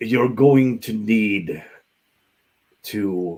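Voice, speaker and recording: A man puts on a character voice at a medium pitch. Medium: actual play. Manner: measured, cryptic.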